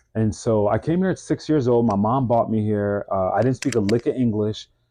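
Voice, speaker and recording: With a Mid-Atlantic accent, a man talks fairly quickly at a medium pitch, keeping his loudness very even and his pitch variation ordinary. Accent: American, Mid-Atlantic. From US, DC-Maryland-Virginia area (Bowie, Maryland). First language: French. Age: 40s. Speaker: fitness business owner, stretch therapist. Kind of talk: interview, personal story.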